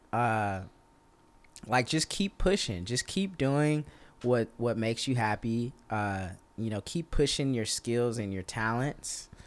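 A man talks at a very slow pace, medium in pitch and lively in intonation. The recording is very clean, with a silent background. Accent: Texas. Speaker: drummer. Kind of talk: casual chat.

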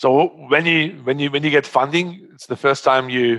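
Here a man talks with a German accent and ordinary pitch variation. The sound is dry and close, with no echo. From Germany. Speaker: startup founder. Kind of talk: interview. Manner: halting.

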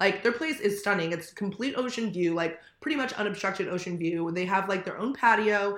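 A woman's animated, medium-pitched voice with a Californian accent, fairly quick in pace, with ordinary pitch variation. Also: hardly any pauses. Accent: Californian American. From US West Coast, Manhattan Beach, California. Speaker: podcast co-host. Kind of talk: casual chat. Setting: remote recording.

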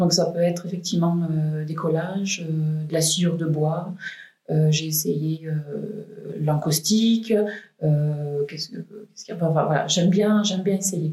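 A woman speaks in a normal speaking voice at a fairly slow pace. Her pitch sits fairly low, with fairly even intonation. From France, Valence (Drôme). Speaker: painter. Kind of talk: interview. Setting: artist's studio.

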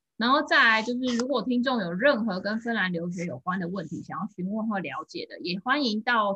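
A woman talks at a moderate pace in a bright, sharp voice with lively intonation. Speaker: podcast host. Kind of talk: scripted intro and outro; interview conversation.

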